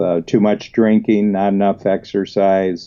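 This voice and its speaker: Speaking rather slowly, a man uses a somewhat low pitch. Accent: Midwestern US. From US Midwest, northern Ohio. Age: 70s. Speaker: business coach. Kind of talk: interview. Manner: halting, many fillers.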